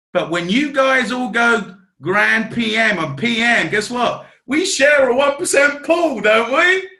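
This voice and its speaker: A man projects a raised voice at an extremely high pitch, bright and sharp in tone, swinging very widely in pitch at a fairly slow pace amid audible room echo. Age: 40s. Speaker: network marketing team trainer. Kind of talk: team training talk. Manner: animated.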